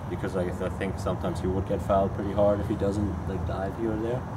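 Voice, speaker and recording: A man speaks at a fairly quick pace with a German accent. Loud background noise fills the recording. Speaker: professional soccer player. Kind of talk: press conference Q&A.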